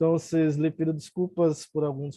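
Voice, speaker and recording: A man with a Brazilian accent, fairly high-pitched, at a fairly slow pace in a flat monotone. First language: Portuguese (speaking Spanish). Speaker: academic commentator. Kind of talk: reading prepared remarks. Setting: video call.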